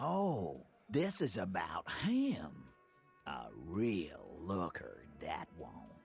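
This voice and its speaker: Over faint music in the background, a man uses a medium-pitched, put-on character voice at a very slow pace. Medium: video game. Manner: laid-back, wry.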